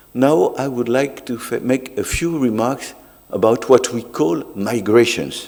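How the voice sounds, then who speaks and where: Here a man speaks with a French accent. His pace is very slow. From France. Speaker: sociologist. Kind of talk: academic talk.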